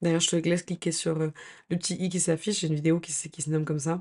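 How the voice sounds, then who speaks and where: Against a quiet background, a woman speaks with a fairly low pitch and fairly even intonation. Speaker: lifestyle YouTuber. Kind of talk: advice vlog. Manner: hesitant, many fillers.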